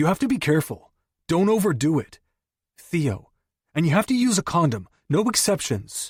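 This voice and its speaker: A man does a gruff, put-on character voice, high-pitched, with very wide pitch swings at a moderate pace. Long pauses come often, and the very clean recording is dry and close with no echo over a silent background. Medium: read story. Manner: blunt, gruff.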